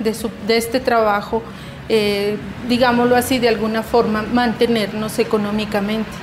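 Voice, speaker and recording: Over noticeable background noise and audible room echo, a woman talks in a flat monotone at a fairly high pitch. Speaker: artisan and shop owner. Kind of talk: interview testimony.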